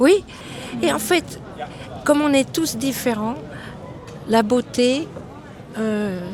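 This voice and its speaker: Noticeable background noise sits under a woman's high-pitched voice as she speaks very slowly with long, frequent pauses. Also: lively intonation. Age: 70s. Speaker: passer-by interviewee. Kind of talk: casual street interview. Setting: outdoors on a street.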